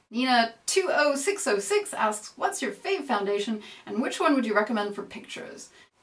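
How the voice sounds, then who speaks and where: Here a woman speaks at a high pitch and a moderate pace. Her pitch swings very widely. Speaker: makeup tutorial youtuber. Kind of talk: Q&A video monologue.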